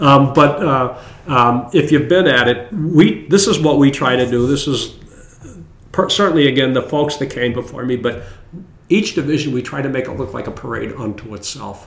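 A man with an American accent speaks at a moderate pace and medium pitch with ordinary pitch variation. Noticeable background noise runs through the clip. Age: 70s. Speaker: St. Patrick's parade organizer. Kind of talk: casual interview.

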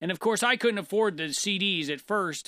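A man with a high pitch and a bright, sharp tone uses a raised, projected voice at a fairly quick pace on a very clean recording with a silent background. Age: 40s. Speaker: podcast co-host. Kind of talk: casual chat. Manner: talkative.

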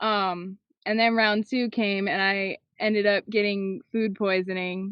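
Fairly even intonation runs through a plain, everyday voice. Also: woman. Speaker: disc golfer. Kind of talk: interview answers, casual chat.

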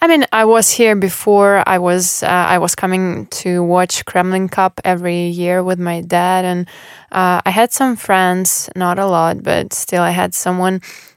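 A woman with a Russian accent speaks fairly slowly in a monotone, flat intonation, the sound dry and close with no echo in a very clean recording with a silent background. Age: 20s. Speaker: former tennis player. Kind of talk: casual interview.

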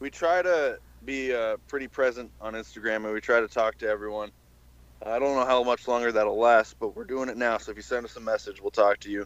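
Recorded with a dry, close sound and no echo, a man with a plain, everyday voice speaks at medium pitch and a moderate pace with fairly even intonation. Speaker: podcast guest. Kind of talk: casual chat, interview.

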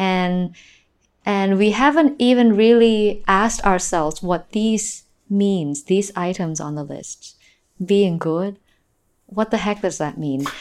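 In a Thai accent, a woman speaks very slowly at a medium pitch with ordinary pitch variation. The recording is very clean, with a silent background. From Northeast Thailand, Nakhon Ratchasima. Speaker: physical theater performer. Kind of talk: interview.

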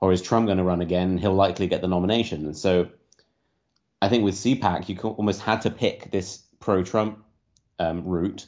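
A man's very deep, low voice in a British accent, with fairly even intonation, a fairly quick pace and long, frequent pauses. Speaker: political commentator. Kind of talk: casual chat.

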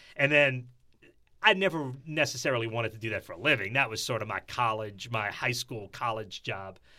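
A man speaks at medium pitch and a fairly quick pace in a bright, sharp tone with ordinary pitch variation. The recording is very clean with a silent background. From New Orleans. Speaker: sports broadcaster. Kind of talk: interview.

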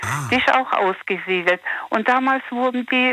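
A woman talks at a fairly slow pace in a bright, sharp tone with ordinary pitch variation. The sound is dry and close, with no echo. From Sudetenland, later resettled to Germany. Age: 50s. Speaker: caller. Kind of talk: phone call-in chat.

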